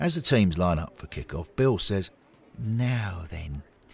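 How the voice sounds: Lively intonation in a natural reading voice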